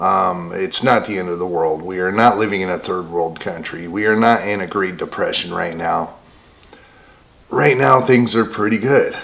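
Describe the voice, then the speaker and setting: Over noticeable background noise and audible room echo, a man with a very deep, low pitch speaks at a moderate pace with ordinary pitch variation. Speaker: homesteading vlogger. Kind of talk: casual vlog monologue. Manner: quiet, soft-spoken.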